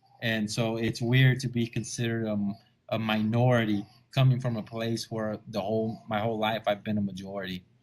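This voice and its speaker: At a fairly quick pace, a man with a medium pitch speaks in a monotone, flat intonation. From Texas, Rio Grande Valley. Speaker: comedian. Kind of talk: casual chat.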